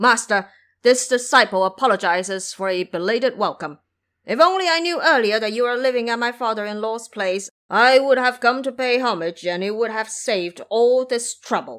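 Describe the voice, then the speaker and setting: In a put-on character voice with fairly high pitch, the speaker goes at a moderate pace on a very clean recording with a silent background. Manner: humble, apologetic.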